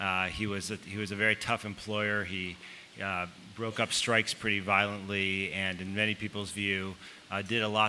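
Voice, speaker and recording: Amid noticeable background noise, a man with a fairly low pitch talks in an American accent. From Chicago, US Midwest. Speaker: author. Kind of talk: panel talk. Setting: stage with audience. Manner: halting, many fillers.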